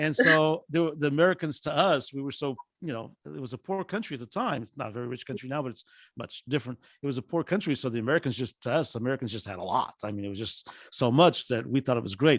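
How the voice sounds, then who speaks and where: A man with an Azorean accent at a very fast pace, medium-pitched, with lively intonation and big swings in loudness, in a very clean recording with a silent background and a dry, close sound with no echo. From Azores, Portugal. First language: Portuguese. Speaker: professor. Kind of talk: presentation. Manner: halting with many fillers.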